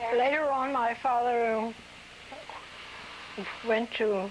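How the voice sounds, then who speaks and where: Fairly even intonation comes through in a Mid-Atlantic American accent over noticeable background noise. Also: woman. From New Castle, Delaware. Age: 80s+. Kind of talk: interview answer.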